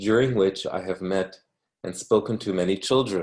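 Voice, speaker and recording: A normal speaking voice at a moderate pace with fairly even intonation, against a quiet background. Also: man. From Canada. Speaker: academic reading a book for language learners. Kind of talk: reading aloud.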